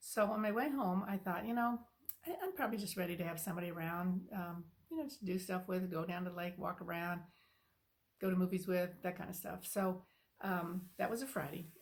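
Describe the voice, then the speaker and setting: A woman with a medium-pitched, somewhat breathy voice talks at a fairly quick pace with ordinary pitch variation. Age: 70s. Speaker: spiritual channel host. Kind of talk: casual personal talk to camera. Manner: halting, many fillers.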